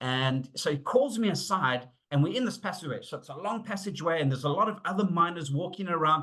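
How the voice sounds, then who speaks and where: The man's pitch is high and his intonation lively. He talks at a very fast pace. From South Africa. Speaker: safety and leadership consultant. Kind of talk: webinar presentation. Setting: online webinar. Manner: conversational with fillers and hesitations.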